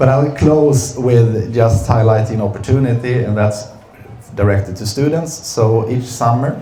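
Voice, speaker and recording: A man talks at a fairly slow pace. Room echo and noticeable background noise can be heard. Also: medium pitch for a man, ordinary pitch variation. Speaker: company executive. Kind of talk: seminar presentation. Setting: seminar room with audience. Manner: hesitant, many fillers.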